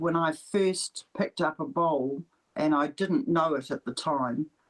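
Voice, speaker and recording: A woman with a New Zealand accent speaks at a fairly low pitch in a dry, close recording with no echo. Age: 70s. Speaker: para lawn bowler. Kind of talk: interview.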